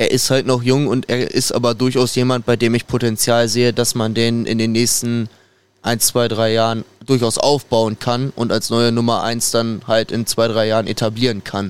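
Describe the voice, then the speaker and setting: Monotone, flat intonation in a man's medium-pitched voice. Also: moderate pace. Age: young. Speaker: football fan podcast guest. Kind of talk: casual chat.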